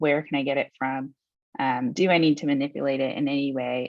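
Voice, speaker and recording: Against a quiet background, a woman speaks with a very deep, low pitch in a dry sound without echo. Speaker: solutions engineer presenting software demo; webinar presenter. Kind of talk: webinar presentation. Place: home room. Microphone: webcam.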